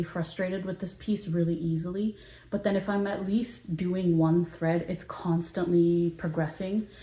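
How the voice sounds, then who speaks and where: The woman's voice has a dark, mellow tone and is somewhat breathy. Her intonation stays fairly even. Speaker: cross-stitch hobby vlogger. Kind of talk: casual hobby chat. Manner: hesitant, many fillers.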